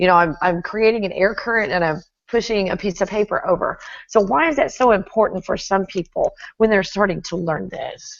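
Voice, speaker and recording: A woman with an American accent speaks at a medium pitch in an unremarkable speaking voice. Her pace is fairly quick and her intonation lively. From Texas. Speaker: YouTube host. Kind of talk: interview.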